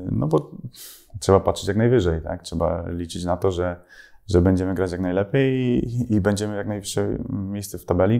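Over a quiet background, a man with a very deep, low voice and a dark, mellow tone speaks at a moderate pace with ordinary pitch variation. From Poland, Mielec (Podkarpacie); Poland. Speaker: professional footballer. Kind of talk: interview answering fan questions. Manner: hesitant, many fillers and repetitions. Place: home room. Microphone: lapel.

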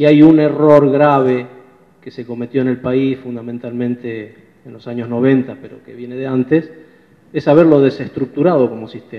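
A plain, everyday voice from a man, medium in pitch, with fairly even intonation and a moderate pace. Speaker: union leader and railway engineer. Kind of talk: workshop presentation.

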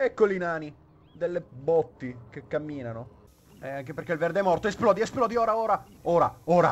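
Lively intonation marks a man's high-pitched voice. He talks at a fairly quick pace, and his loudness swings widely. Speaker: gaming YouTuber. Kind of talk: gameplay commentary. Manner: animated.

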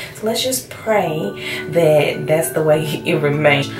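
A woman talks with clear music playing in the background. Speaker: expecting mother vlogger. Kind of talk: casual talk to camera. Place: home room. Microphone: camera far.

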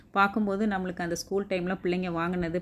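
A woman with a fairly low pitch speaks in a plain, everyday voice. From Tamil Nadu, Erode. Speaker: vlogger. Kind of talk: casual vlog narration.

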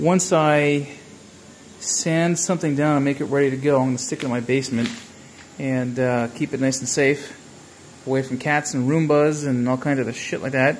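A moderate pace broken by long, frequent pauses, over light background noise. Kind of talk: casual vlog chat. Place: garage. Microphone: phone near.

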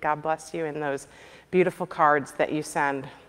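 Ordinary pitch variation runs through the woman's speech. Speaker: pastor. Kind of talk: church announcements, casual address to congregation. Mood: warm, laughing. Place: church.

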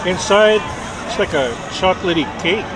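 Over clear background noise and clear crowd noise in the background, a man speaks at a moderate pace with lively intonation and a high pitch.

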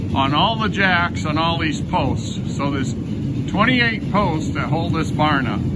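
Against loud background noise, a man speaks at a very slow pace. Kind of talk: casual vlog chat. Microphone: phone near.

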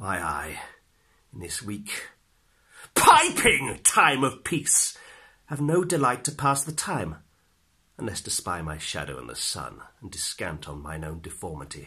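A man does a raspy, put-on character voice at medium pitch. He keeps a moderate pace broken by long, frequent pauses. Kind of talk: dramatic monologue performance.

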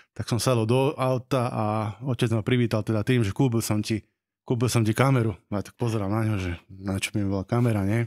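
With a plain, everyday voice, a man speaks at a fairly quick pace and with fairly even intonation. The background is quiet. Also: medium pitch for a man. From Slovakia, Nové Zámky; Slovakia. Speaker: wedding videographer and teacher; teacher. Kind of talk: casual chat. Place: studio. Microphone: studio mic.

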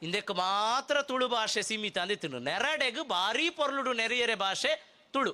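An extremely high-pitched man speaks in a raised, projected voice with a bright, sharp tone. His intonation is lively and his loudness very even, in a very clean recording with a silent background. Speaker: public speaker. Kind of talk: speech at a festival.

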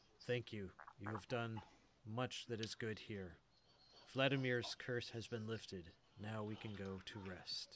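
Someone uses a put-on character voice, leaving long, frequent pauses. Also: man, medium pitch for a man, moderate pace. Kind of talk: fantasy game-master character voice. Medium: actual play. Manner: solemn, grave.

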